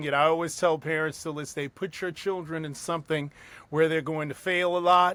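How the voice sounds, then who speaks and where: In a very clean recording with a silent background, a man with a New York accent speaks at a moderate pace in a fairly high pitch, with a bright, sharp tone and monotone, flat intonation. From US, New York City. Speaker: circus ringmaster and opera-trained singer. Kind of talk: interview.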